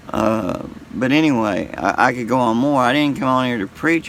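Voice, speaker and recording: The speech moves at a fairly slow pace, with ordinary pitch variation. Noticeable background noise sits behind it. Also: man. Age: 60s. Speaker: YouTuber sharing faith. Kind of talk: casual monologue. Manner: halting.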